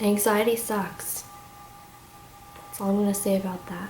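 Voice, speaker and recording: Soft-spoken, monotone, flat delivery with audible room echo and noticeable background noise. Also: woman. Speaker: vlogger. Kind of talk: casual chat. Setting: at home. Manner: halting. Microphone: may be too quiet.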